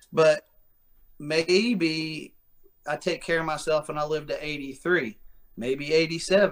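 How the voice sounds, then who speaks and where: A man's fairly high voice with an American accent, at a very slow pace with long, frequent pauses and ordinary pitch variation. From West Virginia. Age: 30s. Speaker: fitness coach. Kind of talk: casual interview. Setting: video call.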